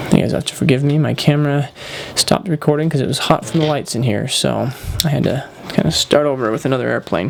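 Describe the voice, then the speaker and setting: A man at a fairly high pitch and very fast pace, with ordinary pitch variation and noticeable background noise. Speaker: paper airplane tutorial maker. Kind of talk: tutorial. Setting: indoors under bright lights. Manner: casual, filler-heavy.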